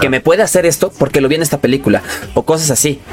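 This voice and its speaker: Over noticeable background noise, a man with a Mexican accent speaks at a fairly high pitch with ordinary pitch variation. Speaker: podcast host. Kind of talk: casual chat.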